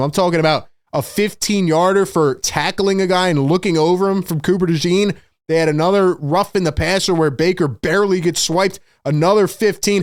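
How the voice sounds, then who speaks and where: This man talks at a moderate pace in an animated tone with ordinary pitch variation. The recording is very clean, with a silent background. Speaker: sports show host. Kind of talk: sports reaction commentary. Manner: loud.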